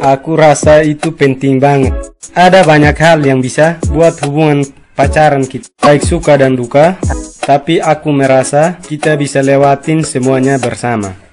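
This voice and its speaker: With music playing in the background, a man talks at a moderate pace in a fairly high voice with fairly even intonation. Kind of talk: staged romantic conversation, marriage proposal.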